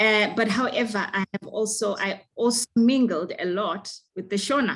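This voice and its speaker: A woman with a Zimbabwean accent speaks at a fairly slow pace. Her voice is fairly high, with ordinary pitch variation. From Zimbabwe, Bulawayo. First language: Ndebele. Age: young. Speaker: singer. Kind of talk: interview. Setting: video call.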